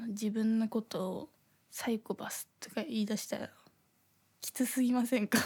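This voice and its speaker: Somewhat breathy speech from a woman. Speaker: podcast host. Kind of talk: casual chat. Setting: home recording in thin-walled apartment. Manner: airheaded-sounding way of talking.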